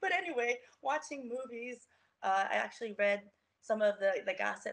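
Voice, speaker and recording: Bright and sharp in tone, a woman with an American accent speaks with ordinary pitch variation. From US, Baltimore, Maryland. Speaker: model and personal trainer. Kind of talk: interview.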